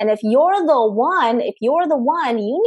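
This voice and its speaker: This woman's voice sits at a high pitch. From Philippines. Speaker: permanent makeup artist and business speaker. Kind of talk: interview. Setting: video call.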